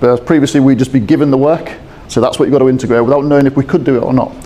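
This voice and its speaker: There is noticeable background noise as a man speaks with a British accent. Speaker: procurement systems integration specialist. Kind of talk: conference presentation. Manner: fast.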